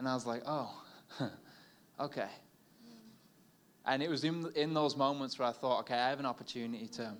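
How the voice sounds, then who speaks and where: The speech runs at a fairly quick pace with long, frequent pauses and ordinary pitch variation. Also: man, medium pitch for a man. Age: 20s. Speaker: new church pastor. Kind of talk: stage interview. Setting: stage with audience.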